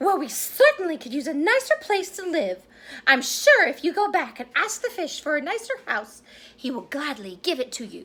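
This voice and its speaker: Using a put-on character voice, a woman speaks at a moderate pace in an extremely high pitch. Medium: read story. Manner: bossy.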